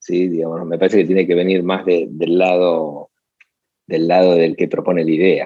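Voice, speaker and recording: Flat, monotone intonation marks this man's very deep, low-pitched voice. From Argentina, Buenos Aires. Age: 40s. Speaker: advertising agency founder. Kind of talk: interview. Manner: halting, many repetitions.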